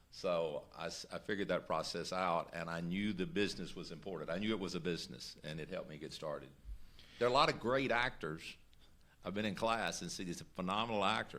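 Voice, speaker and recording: A man speaks with a Southern US accent in a very deep, low pitch. His pace is fairly quick and his intonation is lively. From Mississippi. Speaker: actor. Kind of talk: interview.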